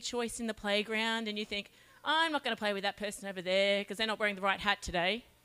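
A woman with an Australian accent, bright, sharp tone and very fast pace. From Australia, Charters Towers (Queensland). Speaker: children's ministry leader. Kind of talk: children's talk.

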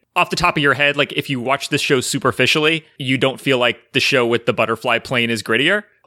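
A man at medium pitch, very fast with hardly any pauses, bright and sharp in tone, with very even loudness and ordinary pitch variation, in a very clean recording with a silent background and a dry, close sound with no echo. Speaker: podcast host. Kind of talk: casual chat.

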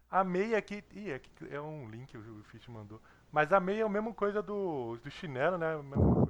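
A man talks at a moderate pace in a fairly high pitch. His loudness swings a lot, and his pitch swings very widely. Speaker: gaming podcast host. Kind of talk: casual chat. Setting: online call.

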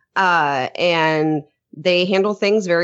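A woman talks in a normal speaking voice, her pitch fairly low. Her pitch moves with ordinary variation. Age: 30s. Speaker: podcast host. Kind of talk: casual chat.

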